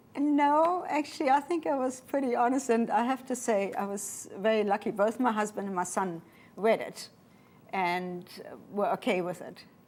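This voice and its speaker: With a German accent, a woman speaks at a fairly high pitch with very wide pitch swings. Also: moderate pace. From Namibia. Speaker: pilot and author. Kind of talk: interview.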